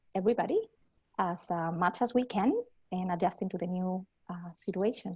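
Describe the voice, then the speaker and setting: A somewhat breathy voice with a dark, mellow tone and ordinary pitch variation, recorded dry and close with no echo against a quiet background. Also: woman. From Spain. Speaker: mental health clinical supervisor. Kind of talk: panel discussion.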